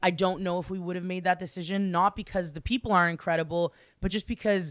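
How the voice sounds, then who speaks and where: A woman's animated voice with a Canadian accent, medium in pitch and very fast, dry and close with no echo, on a very clean recording with a silent background. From Ottawa, Ontario, Canada. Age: 20s. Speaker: singer-songwriter. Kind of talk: casual interview.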